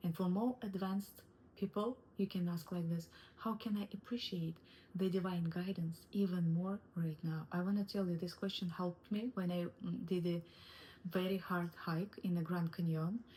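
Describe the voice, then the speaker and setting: Someone with a non-native accent speaks at a moderate pace in a somewhat breathy voice, with fairly even intonation and very even loudness. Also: woman, medium pitch for a woman. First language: not English. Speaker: wellness coach. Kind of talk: online course lesson. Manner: halting.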